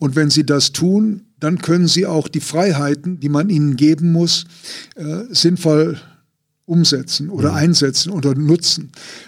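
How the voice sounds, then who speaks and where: An ordinary speaking voice from a man, fairly high in pitch, with ordinary pitch variation and a fairly slow pace. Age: 60s. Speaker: basketball coach. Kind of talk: interview.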